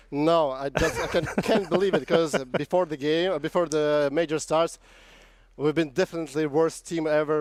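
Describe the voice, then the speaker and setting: In a very clean, dry and close recording with a silent background and no echo, a man with a fairly high voice speaks at a moderate pace in a flat monotone. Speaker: professional esports player. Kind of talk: post-match interview. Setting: backstage. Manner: halting.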